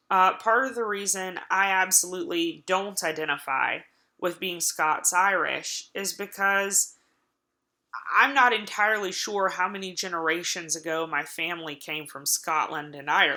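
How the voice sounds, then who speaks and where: With an Appalachian accent, a woman speaks in a bright, sharp tone at a moderate pace. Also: medium pitch for a woman, ordinary pitch variation. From Appalachia, US. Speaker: college lecturer. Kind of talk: recorded online lecture. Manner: hesitant, many filler words.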